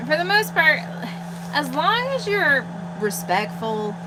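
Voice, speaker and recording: A woman talks at a fairly slow pace with a medium pitch. Noticeable background noise and audible room echo fill the recording. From Colorado. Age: 30s. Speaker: fishing livestream co-host. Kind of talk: casual chat.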